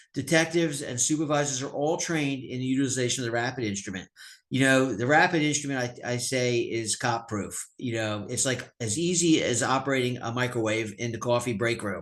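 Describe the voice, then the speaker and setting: In a Pennsylvania accent, a man speaks fairly quickly at a medium pitch with ordinary pitch variation. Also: quiet background. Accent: American, Pennsylvania. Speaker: sheriff / police official. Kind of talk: webinar presentation. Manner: fast.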